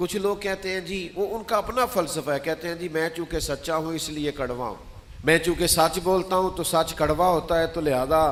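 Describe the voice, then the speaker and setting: With ordinary pitch variation, a man speaks in a high voice. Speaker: Islamic preacher. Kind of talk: Islamic sermon (bayan) delivered to an audience. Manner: earnest, passionate, persuasive.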